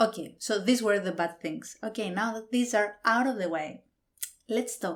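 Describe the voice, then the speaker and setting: A woman speaks with a non-native accent. Her pitch sits in the medium range. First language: not English. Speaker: book reviewer. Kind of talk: book review monologue. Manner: hesitant, with fillers.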